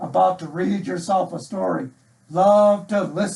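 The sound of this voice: Just an unforced reading voice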